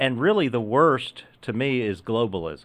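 A man with a normal speaking voice, medium pitch, and a fairly slow pace. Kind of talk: casual interview chat.

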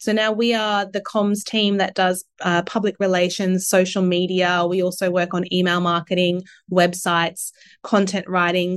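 In an Australian accent, a woman speaks at a moderate pace and medium pitch in a flat monotone, with very even loudness against a quiet background. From Australia, Sunshine Coast, Queensland. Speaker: marketing and communications professional. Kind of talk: interview.

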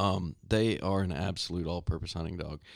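On a very clean recording with a silent background, a man with a Texan accent talks at a fairly quick pace in a very deep, low voice. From Texas, Stephenville. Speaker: hunting guide. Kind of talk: casual chat. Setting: studio.

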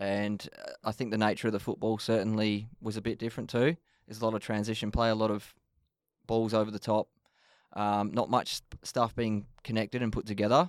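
A man's fairly low voice with an Australian accent, fairly quick and fairly even in intonation, dry and close with no echo on a very clean recording with a silent background. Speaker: football coach. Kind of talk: podcast interview. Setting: studio.

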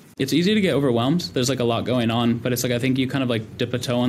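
Very fast speech with an American accent. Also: man. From California, US. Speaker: venture capital investor and army veteran. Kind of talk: interview.

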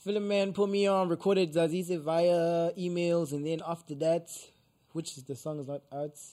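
Pitched high for a man, his voice has a dark, mellow tone, fairly even intonation and big swings in loudness. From South Africa, KwaZulu-Natal township near Richards Bay. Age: young. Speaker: up-and-coming musician. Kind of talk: casual interview.

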